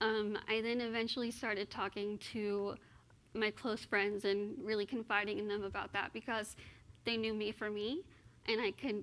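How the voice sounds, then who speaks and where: A plain, everyday voice with an American accent moves at a moderate pace with fairly even intonation. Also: woman. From Texas (Austin). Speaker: motivational speaker. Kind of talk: interview on stage.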